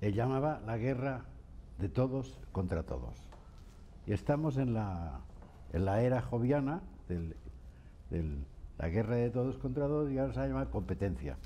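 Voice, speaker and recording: The voice has a dark, mellow tone and very wide pitch swings, moving at a fairly slow pace with long, frequent pauses over light background noise. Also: man, fairly low pitch for a man. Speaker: writer and thinker; interviewee. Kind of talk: interview. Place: office. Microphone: lapel.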